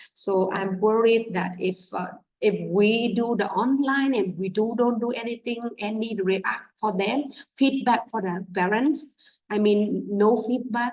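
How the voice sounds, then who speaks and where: At a very slow pace, a woman speaks in a medium pitch with a Vietnamese accent and ordinary pitch variation. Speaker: English teacher. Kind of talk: teacher training talk. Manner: halting, many fillers.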